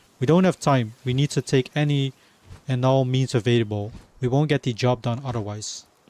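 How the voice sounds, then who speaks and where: With a non-native accent, a man speaks at a moderate pace and medium pitch with ordinary pitch variation, the sound dry and close with no echo. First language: not English. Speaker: video game streamer. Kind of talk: casual live stream chat. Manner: halting, many fillers.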